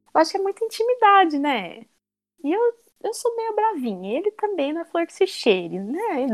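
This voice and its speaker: A woman's voice swings very widely in pitch, heard in a dry, close sound with no echo. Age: 20s. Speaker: gym member. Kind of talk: casual chat.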